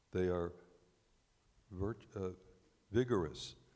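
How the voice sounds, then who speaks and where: A man's very deep, low voice comes through loud and booming, with a dark, mellow tone. He speaks at a fairly slow pace. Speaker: congregant. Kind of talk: reading scripture aloud. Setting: synagogue service, on microphone. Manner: halting over names.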